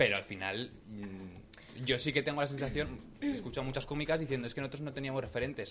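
A man talks very quickly, his medium-pitched voice rising and falling in an ordinary way. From Aragón, Spain. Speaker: podcast host, comedian. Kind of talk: casual chat.

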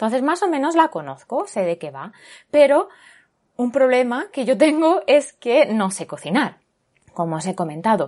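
A woman's high-pitched voice with very wide pitch swings and big swings in loudness, over a quiet background. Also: moderate pace. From Spain, Barcelona. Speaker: podcast host. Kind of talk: casual chat.

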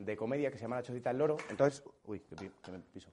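Here is a man with a dark, mellow tone. He talks at a very fast pace with ordinary pitch variation. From Spain. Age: 30s. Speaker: comedian. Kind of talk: casual chat.

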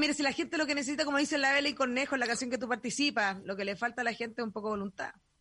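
A woman with a Chilean accent at a very fast pace, hardly any pauses. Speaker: podcast host. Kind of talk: casual chat. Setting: borrowed home studio.

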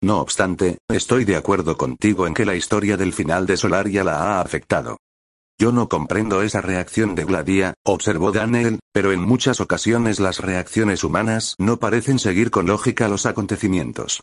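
Against a quiet background, a man with a normal speaking voice talks at a moderate pace, with fairly low pitch, ordinary pitch variation and very even loudness. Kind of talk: audiobook reading. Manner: formal, measured literary narration; shifts tone to voice characters in dialogue.

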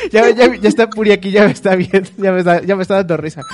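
Music plays behind a man whose high pitch shows ordinary variation. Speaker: podcast host. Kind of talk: casual chat. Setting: video call. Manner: halting.

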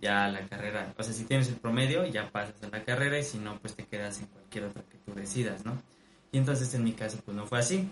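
This man talks at a fairly quick pace with ordinary pitch variation, a somewhat breathy voice and big swings in loudness. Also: medium pitch for a man. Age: 20s. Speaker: musician and student. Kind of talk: casual chat.

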